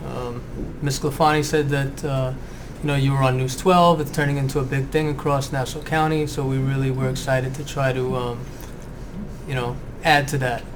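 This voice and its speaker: Noticeable background noise sits behind a man speaking at a moderate pace. His pitch is fairly high and his intonation monotone and flat. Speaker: school librarian, podcast host. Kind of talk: interview questions.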